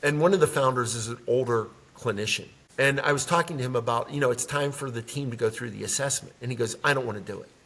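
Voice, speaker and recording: A man talks very fast at medium pitch with ordinary pitch variation and big swings in loudness. Noticeable background noise is present. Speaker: leadership development consultant. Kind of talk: interview.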